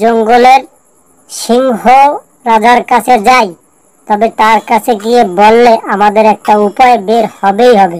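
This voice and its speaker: A put-on character voice, female-sounding and fairly high-pitched, delivered at a fairly slow pace. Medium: read story. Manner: polite, deferential.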